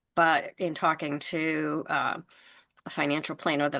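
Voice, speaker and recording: In an American accent, a woman with a very deep, low pitch and a bright, sharp tone speaks at a fairly slow pace with vocal fry and fairly even intonation over a quiet background. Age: 60s. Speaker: entrepreneur. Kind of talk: interview.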